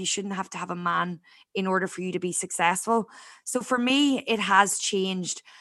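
A woman's medium-pitched voice in a Northern Irish accent, bright and sharp in tone, with fairly even intonation, a fairly quick pace and a quiet background. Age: 20s. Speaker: podcast host, expat. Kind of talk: casual interview chat. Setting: video call.

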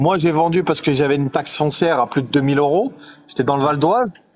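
An unremarkable speaking voice, its pitch varying in an ordinary way. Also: man. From Île-de-France. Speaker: live stream viewer joining on air. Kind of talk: casual chat.

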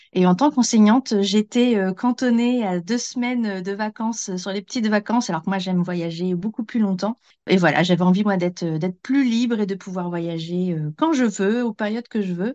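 A woman at medium pitch with a dark, mellow tone, the sound dry and close with no echo, over a quiet background. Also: ordinary pitch variation, moderate pace. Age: 40s. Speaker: former teacher and travel enthusiast. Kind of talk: casual interview. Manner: hesitant, many fillers.

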